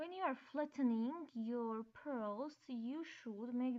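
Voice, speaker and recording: A woman with a high voice, a dark, mellow tone and a non-native accent speaks very slowly, her pitch varying an ordinary amount. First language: not English. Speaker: DIY crafter. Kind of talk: craft tutorial narration. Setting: laptop microphone.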